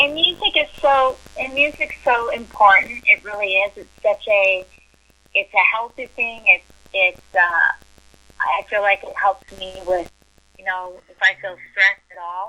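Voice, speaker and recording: In an ordinary speaking voice, a woman talks at a fairly slow pace with a fairly high pitch, lively intonation and big swings in loudness. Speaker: country music artist. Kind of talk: casual interview answer.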